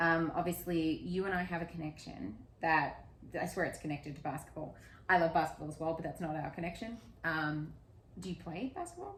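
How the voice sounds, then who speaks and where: Somewhat breathy and animated, a woman with an Australian accent talks at a fairly quick pace and a fairly low pitch. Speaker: podcast host. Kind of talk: casual interview chat.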